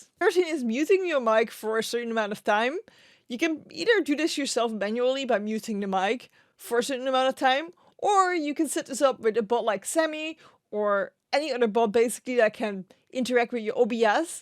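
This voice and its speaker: A woman speaks with a strong Dutch accent, a high pitch and lively intonation at a fairly quick pace. The recording is very clean, with a silent background. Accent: Dutch accent, quite strong. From Netherlands. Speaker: Twitch streamer and streaming tips YouTuber. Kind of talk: tutorial.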